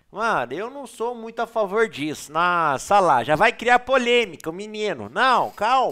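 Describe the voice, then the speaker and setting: In a very clean recording with a silent background, a man with a high-pitched, bright, sharp tone and a raised, projected voice speaks at a fairly slow pace with hardly any pauses and big swings in loudness. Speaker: poker player and video creator. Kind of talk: poker tournament analysis tutorial. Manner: casual, slangy and animated.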